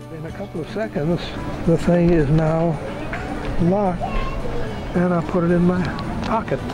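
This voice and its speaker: With clear music in the background, a man speaks at a moderate pace, leaving long, frequent pauses. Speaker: inventor. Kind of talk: product demonstration to camera. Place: waterside. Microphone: phone near.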